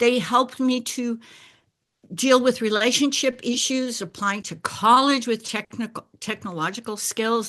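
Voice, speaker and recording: A woman talks at a fairly slow pace with a fairly high pitch. The background is quiet. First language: Bulgarian. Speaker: life coach. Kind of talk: personal talk.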